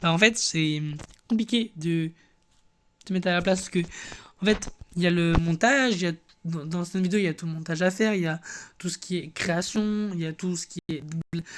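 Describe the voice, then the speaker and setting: A man's high-pitched voice, fairly quick in pace and fairly even in intonation. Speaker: gaming youtuber. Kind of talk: casual gameplay commentary. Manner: fast; halting, many fillers and repetitions.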